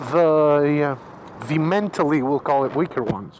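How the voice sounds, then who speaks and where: The speech comes at a very slow pace in a Greek accent. Noticeable background noise is present. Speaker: motorcycle vlogger. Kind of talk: casual vlog monologue. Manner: casual with frequent fillers.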